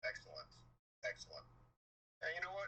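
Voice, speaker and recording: The speaker is a man with an American accent. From Massachusetts. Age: 60s. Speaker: retired crew foreman, prospective client. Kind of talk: sales call.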